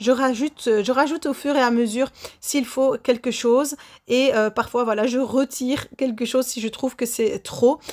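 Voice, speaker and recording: This woman has a high-pitched voice. She talks at a moderate pace. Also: fairly even intonation. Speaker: baking youtuber. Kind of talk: baking tutorial voice-over; channel outro. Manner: frequent hesitations.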